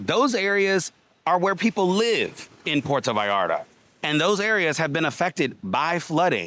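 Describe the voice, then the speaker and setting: This man has a high, bright, sharp voice with a Southern US accent and very wide pitch swings. His tone is animated, his loudness very even and his pace moderate. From US South. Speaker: travel vlogger. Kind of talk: walking vlog. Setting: outdoors.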